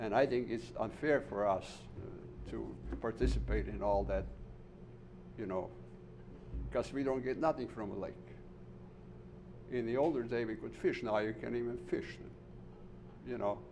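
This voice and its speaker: Talking at a moderate pace with long, frequent pauses, a man is heard with audible room echo. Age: 70s. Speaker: resident speaking at public comment. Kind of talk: public comment at town meeting. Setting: township board meeting room.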